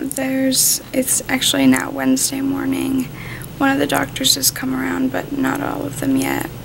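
A woman talks at a moderate pace while noticeable background noise is present. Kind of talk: casual vlog chat. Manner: drowsy, low-energy post-surgery talk. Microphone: phone near.

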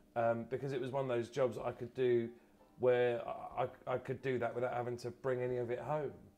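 Faint music plays in the background. A man speaks at a fairly quick pace with fairly even intonation. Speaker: comedian, actor guest. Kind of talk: interview answer. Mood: relaxed, chatty, occasional laughs. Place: bar.

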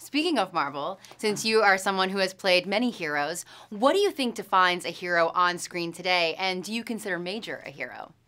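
Her bright, sharp tone sits at a medium pitch for a woman, with ordinary pitch variation. She talks at a fairly quick pace. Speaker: host / reporter. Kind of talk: press junket interview questions.

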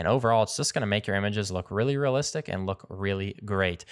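At a very fast pace, a man talks in a fairly low pitch. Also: quiet background. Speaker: photography tutorial host. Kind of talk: tutorial. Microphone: studio mic.

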